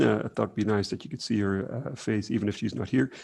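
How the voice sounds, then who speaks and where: Vocal fry runs through a man's speech against a quiet background. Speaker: researcher presenting at workshop. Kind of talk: conference presentation. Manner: fast; hesitant, many fillers.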